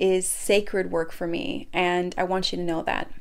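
A woman with an American accent speaks at a fairly slow pace and medium pitch, in an unremarkable speaking voice. The recording is very clean, with a silent background. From Minnesota. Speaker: faith podcast host and coach. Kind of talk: inspirational monologue.

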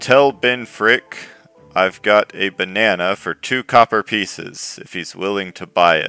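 A man uses a booming, loud, put-on character voice with a fairly low pitch and ordinary pitch variation at a fairly slow pace. The sound is dry and close with no echo, with faint music in the background. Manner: calling out to a distant crowd.

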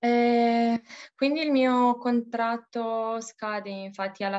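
Over a quiet background, a woman with a Romanian accent speaks very slowly. Her intonation stays fairly even. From Romania, Bucharest. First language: Romanian (speaking Italian). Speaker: expat bank employee. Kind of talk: interview. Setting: call. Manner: halting.

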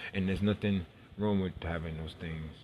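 The voice is somewhat breathy and carries an American accent. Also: man. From New York City. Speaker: podcaster. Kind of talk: personal monologue.

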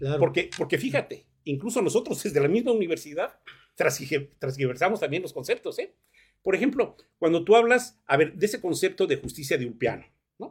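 A man with a high voice and very wide pitch swings talks at a fairly quick pace. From Mexico, Morelos. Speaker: law professor. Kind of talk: radio interview. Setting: radio studio.

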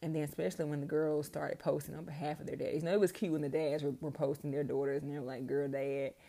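A woman's very deep, low pitch with vocal fry and a dark, mellow tone at a very fast pace. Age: 30s. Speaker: podcast host. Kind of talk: personal monologue. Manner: casual, hesitant with many ums.

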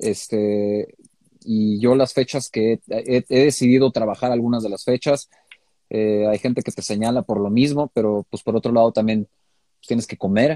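A man with a Mexican accent and a dark, mellow tone, at a moderate pace, in a dry, close sound with no echo. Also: medium pitch for a man, fairly even intonation. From Mexico. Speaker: DJ and music producer. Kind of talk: casual interview.

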